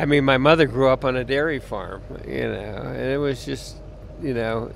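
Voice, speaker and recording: A man speaks at a moderate pace while noticeable background noise carries on. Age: 70s. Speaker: passer-by interviewed about veganism. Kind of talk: street interview.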